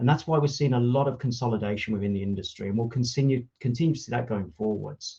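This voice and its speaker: A man with a slight Brummie accent talks at a very fast pace in a somewhat breathy, dark, mellow tone, with a medium pitch and ordinary pitch variation. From Birmingham, England. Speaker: automotive industry consultant. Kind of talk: conference talk. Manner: hesitant, frequent fillers and restarts.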